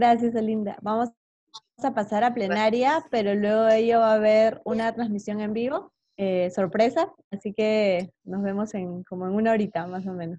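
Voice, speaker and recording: Against a quiet background, a woman with a fairly high pitch and a dark, mellow tone speaks at a moderate pace with ordinary pitch variation, the sound dry with no echo. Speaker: course facilitator, presenter. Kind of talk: moderated webinar. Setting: video call. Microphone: video call.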